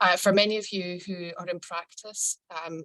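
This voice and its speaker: A woman with a Scottish accent and monotone, flat intonation. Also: dry, close sound with no echo. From Scotland. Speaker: lawyer. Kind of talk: lecture. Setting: video call.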